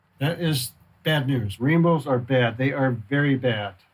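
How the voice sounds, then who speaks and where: The man's voice is somewhat breathy. His pitch variation is ordinary. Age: 70s. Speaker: glassblower. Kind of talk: documentary interview. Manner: hesitant with fillers.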